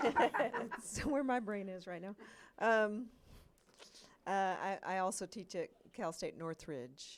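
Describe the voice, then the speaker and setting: This is a woman speaking. She has a Georgia accent. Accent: Georgia (US Southern). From US South, Georgia. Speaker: animation professor. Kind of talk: panel discussion. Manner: halting, many fillers.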